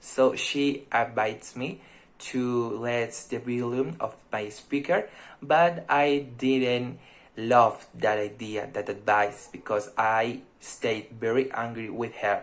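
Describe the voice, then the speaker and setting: At a very slow pace, a man speaks at medium pitch with ordinary pitch variation. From Colombia, Fusagasugá (Cundinamarca). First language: Spanish. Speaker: language student. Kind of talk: mock speaking exam, candidate answers.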